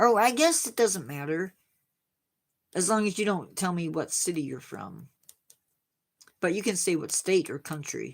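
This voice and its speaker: A woman with an American accent talks at a moderate pace and a fairly low pitch, with lively intonation and vocal fry. Her speech has long, frequent pauses, and the recording is very clean with a silent background. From Indiana, US Midwest. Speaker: science livestream host. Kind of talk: casual chat with live chat viewers. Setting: livestream.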